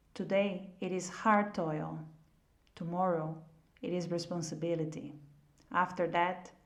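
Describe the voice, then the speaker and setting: Speaking at a fairly slow pace, a woman with a fairly low pitch keeps her intonation fairly even amid audible room echo. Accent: non-native. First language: not English. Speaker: audiobook reader. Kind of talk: reading aloud.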